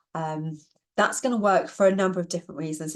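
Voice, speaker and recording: At a fairly quick pace, a woman speaks at a medium pitch against a quiet background. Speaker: productivity trainer. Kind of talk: webinar presentation. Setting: online webinar. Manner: fast.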